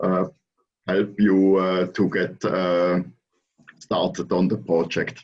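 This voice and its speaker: A man's very deep, low voice, very slow, with monotone, flat intonation, very even loudness and long, frequent pauses. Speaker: company co-founder. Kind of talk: webinar Q&A remarks. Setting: online webinar. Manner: halting, many fillers.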